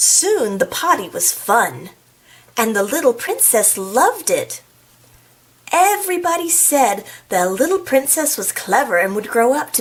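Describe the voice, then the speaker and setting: Over noticeable background noise, a woman's high voice travels through very wide pitch swings. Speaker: school librarian. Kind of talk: children's storytime read-aloud. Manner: playful, chatty asides.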